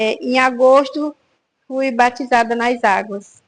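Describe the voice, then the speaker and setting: A woman's high-pitched voice at a very slow pace. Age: 60s. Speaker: church prayer group member. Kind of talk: testimony. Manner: hesitant, with filler words.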